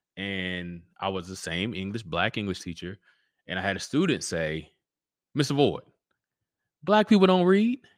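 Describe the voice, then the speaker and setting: A man with an American accent at a moderate pace, long frequent pauses and big swings in loudness, on a very clean recording with a silent background. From Central Texas. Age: 30s. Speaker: children's book author and real estate agent. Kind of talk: casual interview.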